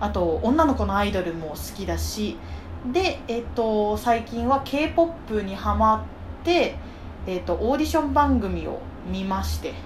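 A woman talks at a moderate pace, with audible room echo and noticeable background noise in the recording. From Japan, rural Saitama. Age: 20s. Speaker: podcast host, office worker. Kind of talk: casual chat.

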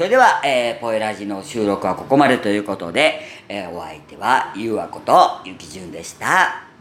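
Amid noticeable background noise and audible room echo, a man talks at a moderate pace with big swings in loudness. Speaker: podcaster. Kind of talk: casual solo talk. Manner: natural, unaffected voice.

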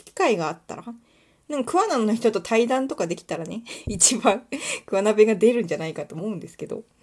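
A woman talks at a fairly quick pace with lively intonation. Her pitch is fairly high. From Kuwana, Mie, Japan. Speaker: podcaster and illustrator. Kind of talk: casual solo monologue. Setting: home recording, nighttime. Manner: fast, run-on speech.

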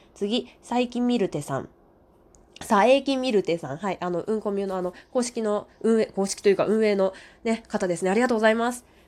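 Delivered in a normal speaking voice, the speech moves at a fairly quick pace with ordinary pitch variation. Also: woman, fairly high pitch for a woman. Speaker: radio talker. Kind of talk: casual solo monologue reading listener comments. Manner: warm, gentle, polite.

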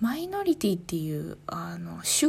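A woman talks at a moderate pace. Her tone is calm. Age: 30s. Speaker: podcaster, office worker. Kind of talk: solo talk.

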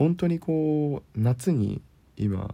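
In a relaxed, calm tone, a man speaks somewhat breathily with a dark, mellow sound and very wide pitch swings. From Kyushu, Japan. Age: 20s. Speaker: podcaster, office worker. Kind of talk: casual solo talk.

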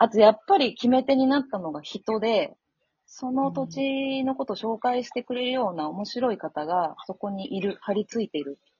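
A somewhat breathy woman's voice at a fairly high pitch and moderate pace, with very wide pitch swings. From Osaka, Japan. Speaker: workation concierge and share house operator. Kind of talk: casual interview.

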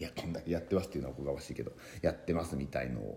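A man speaks with a very deep, low pitch. His tone is dark and mellow, with vocal fry. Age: 30s. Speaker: comedian. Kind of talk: podcast monologue. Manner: halting.

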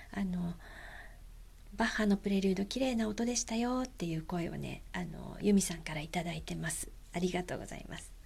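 A woman at medium pitch, somewhat breathy, relaxed and gentle in tone, with ordinary pitch variation and a moderate pace. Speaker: podcast host. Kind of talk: casual monologue. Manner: frequent fillers; relaxed, gentle.

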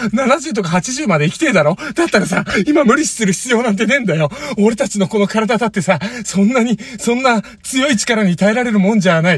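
A man's high, animated voice with lively intonation at a fairly quick pace, over noticeable background noise. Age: 30s. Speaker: former comedian, podcast co-host. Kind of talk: casual chat.

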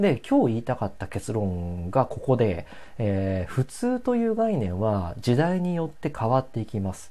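At a moderate pace, a man talks in a medium pitch with very wide pitch swings. His tone is relaxed, dark and mellow. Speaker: solo podcaster. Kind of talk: casual solo talk. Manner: relaxed, many filler sounds; calm.

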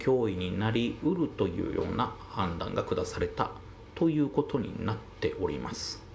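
The room adds an audible echo. The speech moves at a fairly slow pace. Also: man. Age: 40s. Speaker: solo podcaster. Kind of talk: monologue commentary. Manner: many filler pauses.

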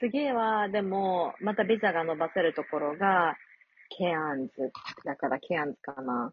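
A normal speaking voice at a fairly slow pace, with lively intonation and big swings in loudness. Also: woman, fairly low pitch for a woman. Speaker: working holiday traveler in Australia. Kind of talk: casual chat.

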